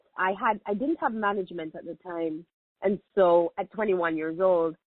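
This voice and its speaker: With a strong Jamaican accent, a woman speaks at a medium pitch and a moderate pace, her loudness swinging widely. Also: ordinary pitch variation. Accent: Jamaican, thick. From Jamaica, Kingston. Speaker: media personality. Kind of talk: interview.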